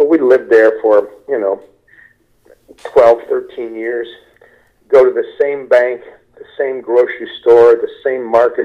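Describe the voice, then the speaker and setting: A man with an American accent talks at a fairly slow pace, with big swings in loudness and long, frequent pauses. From Kentucky and Ohio, US Midwest. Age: 60s. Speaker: stand-up comedian. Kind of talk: casual interview.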